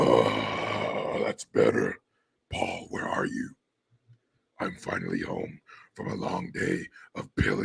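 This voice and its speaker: A man puts on a raspy character voice, leaving long, frequent pauses. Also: fairly slow pace. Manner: tipsy, relieved.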